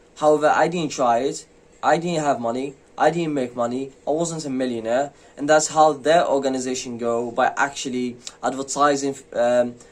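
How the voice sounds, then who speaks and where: With a fairly high pitch and fairly even intonation, a man talks at a moderate pace. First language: not English. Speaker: forex trading youtuber. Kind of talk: casual vlog monologue. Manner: hesitant, many fillers.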